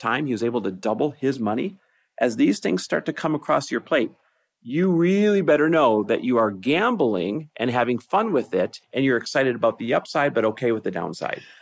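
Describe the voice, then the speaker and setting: A man talks fairly quickly in a normal speaking voice, captured in a very clean recording with a silent background. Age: 40s. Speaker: podcast host and investor. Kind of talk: casual chat. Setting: on a road trip stop at home.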